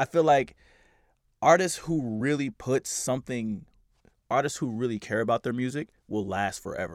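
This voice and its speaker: A normal speaking voice from a man with an American accent, medium pitch, ordinary pitch variation and a moderate pace, in a very clean recording with a silent background. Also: dry, close sound with no echo. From US Midwest, Kansas City and St. Louis, Missouri. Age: 20s. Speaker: DJ and producer. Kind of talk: casual chat.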